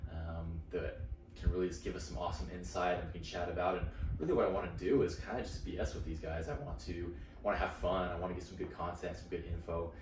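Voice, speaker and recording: In an American accent, the speaker races along at a very fast pace with ordinary pitch variation, audible room echo and music in the background. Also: man, very deep, low pitch for a man. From Utah. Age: 20s. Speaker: podcast host. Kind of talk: casual monologue. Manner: animated.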